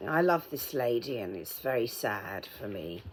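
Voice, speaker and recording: A woman with a British accent speaks at a fairly slow pace. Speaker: vlogger. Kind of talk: casual vlog while painting a mug. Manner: muffled, as if ball in mouth; hesitant, many ums.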